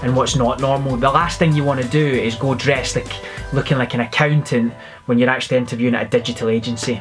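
Clear music plays behind a man speaking at a medium pitch. His intonation is flat and monotone. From Scotland (Glasgow). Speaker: recruiter and vlogger. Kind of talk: casual talk to camera, advice vlog. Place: office. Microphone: phone near.

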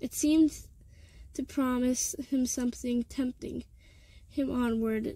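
A woman's high-pitched voice, dark and mellow in tone, with fairly even intonation. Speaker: amateur audiobook reader. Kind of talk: audiobook reading of a novel chapter.

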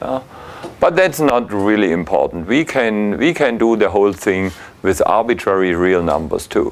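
This man has a normal speaking voice, pitched fairly low. He talks at a moderate pace. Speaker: university lecturer. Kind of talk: lecture. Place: classroom.

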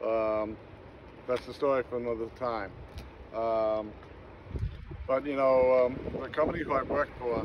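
Through loud background noise, a man speaks at a moderate pace in a monotone, flat intonation, the sound dry with no echo. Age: 60s. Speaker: wallpaper hanger; vlogger. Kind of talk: holiday video message. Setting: outdoors at the beach. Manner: halting with many fillers. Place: beach. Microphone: phone near.

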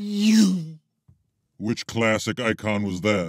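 Speaking very slowly in a cartoonish character voice, a man keeps a medium pitch, and the recording is very clean with a silent background. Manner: casual, unimpressed.

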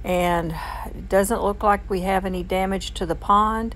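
A woman speaks fairly slowly while light noise sits in the background. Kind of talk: casual vlog chat. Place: car. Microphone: phone near.

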